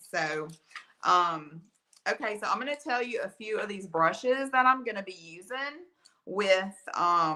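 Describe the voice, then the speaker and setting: A woman's bright, sharp voice sits at a medium pitch, moving at a fairly slow pace with lively intonation. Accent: Alabama. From Alabama. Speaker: art teacher. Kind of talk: live painting tutorial. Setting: livestream from art studio. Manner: casual, chatty.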